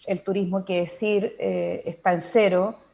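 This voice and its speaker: A woman speaks in a dark, mellow tone at a fairly slow pace. She has a Chilean accent. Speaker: wine tourism expert. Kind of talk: panel interview.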